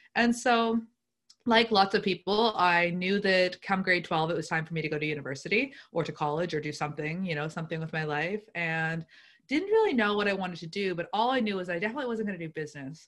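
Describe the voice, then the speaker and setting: On a very clean recording with a silent background, a woman with a Nova Scotian accent talks at a very fast pace with ordinary pitch variation. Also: medium pitch for a woman. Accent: Atlantic Canadian (Nova Scotian). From Nova Scotia, South Shore (Lunenburg). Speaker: entrepreneur and marketer. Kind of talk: interview conversation.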